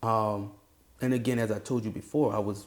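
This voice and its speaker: A man with a New Orleans accent talks at a fairly low pitch with fairly even intonation. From New Orleans, Louisiana. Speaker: university band director. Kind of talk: interview. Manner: casual, halting with fillers.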